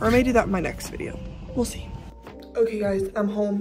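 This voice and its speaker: A woman with an American accent and a fairly high pitch, dry with no echo, over clear music in the background. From Texas. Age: young. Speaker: lifestyle vlogger. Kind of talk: casual vlog talk to camera. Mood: upbeat, relaxed.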